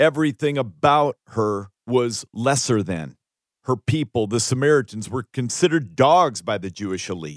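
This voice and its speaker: An unremarkable speaking voice from a man, medium in pitch with lively intonation at a moderate pace, on a very clean recording with a silent background. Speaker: audiobook narrator and author. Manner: confessional, sincere, sermon-like.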